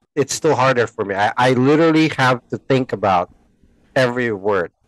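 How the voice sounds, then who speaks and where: Speech in a Filipino accent at a moderate pace, with ordinary pitch variation and a dry, close sound with no echo. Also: man, medium pitch for a man. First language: Tagalog. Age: 40s. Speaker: podcast co-host. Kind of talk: casual chat.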